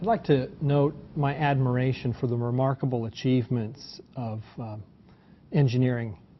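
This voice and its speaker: At a moderate pace, a man talks in a somewhat breathy voice at medium pitch. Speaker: attorney. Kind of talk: panel discussion opening statement. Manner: hesitant, many fillers.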